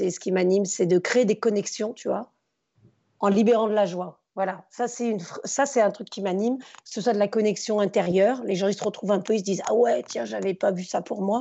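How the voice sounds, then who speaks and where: Here is an unremarkable speaking voice from a woman at a medium pitch. She keeps a moderate pace and fairly even intonation. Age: 40s. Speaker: former teacher turned stage performer and speaker. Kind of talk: casual interview.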